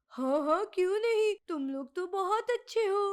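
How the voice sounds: This is a cartoonish character voice from a woman. Her pitch is extremely high. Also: moderate pace, lively intonation.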